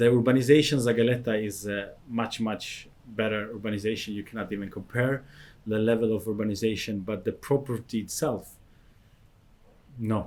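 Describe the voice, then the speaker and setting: This man speaks with a non-native accent. His pace is moderate and his pitch variation ordinary. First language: not English. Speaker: real estate advisor. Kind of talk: property review commentary. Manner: hesitant, many uh fillers.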